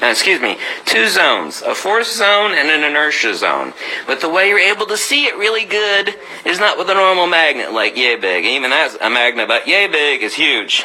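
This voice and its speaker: The speaker's tone is animated and the pace moderate, with noticeable background noise. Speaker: magnetism demonstrator and author. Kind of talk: video demonstration lecture.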